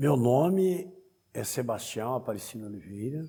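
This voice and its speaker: A man's voice, dark and mellow in tone. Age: 60s. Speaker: Umbanda priest. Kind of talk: interview testimony.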